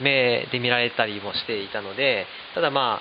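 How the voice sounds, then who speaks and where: Noticeable background noise accompanies the speaker. He is a man with a medium-pitched voice. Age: 30s. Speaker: flour miller. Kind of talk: casual chat.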